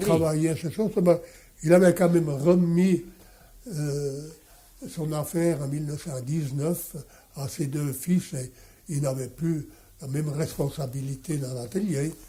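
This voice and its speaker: A man speaks at a very slow pace in a dark, mellow tone, with big swings in loudness and long, frequent pauses. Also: ordinary pitch variation. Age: 80s+. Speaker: watchmaker. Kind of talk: interview answer.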